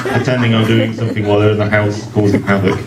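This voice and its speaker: With an English accent and a fairly low pitch, a man speaks amid noticeable background noise and audible room echo. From England. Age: 40s. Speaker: poet. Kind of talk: poetry reading; casual introduction. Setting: book launch event at a restaurant.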